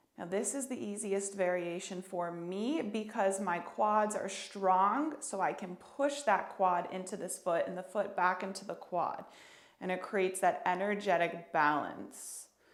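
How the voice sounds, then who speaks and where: A woman talks fairly slowly at a medium pitch with ordinary pitch variation. Audible room echo surrounds her voice. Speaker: yoga therapist. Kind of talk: tutorial.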